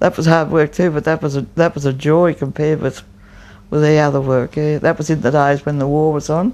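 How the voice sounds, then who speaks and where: With an Australian accent, a woman speaks in a very deep, low voice at a moderate pace and with fairly even intonation. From Australia, New South Wales. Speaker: oral history interviewee. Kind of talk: oral history interview answer. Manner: extroverted, talkative. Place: home room. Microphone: lapel.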